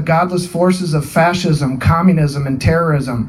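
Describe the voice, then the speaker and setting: A man with an American accent at a high pitch, moderate pace and fairly even intonation, amid noticeable background noise. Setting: outdoor gathering in person to honor fallen.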